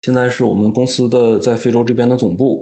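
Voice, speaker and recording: This man's pitch sits at a medium level. He talks at a moderate pace. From Northeast China (Daqing). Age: 20s. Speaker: engineer working in Africa. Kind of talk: casual interview. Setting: remote call. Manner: calm.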